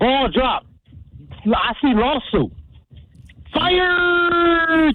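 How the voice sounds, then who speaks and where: A woman puts on a character voice, pitched high and delivered at a very slow pace. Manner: comic, mocking.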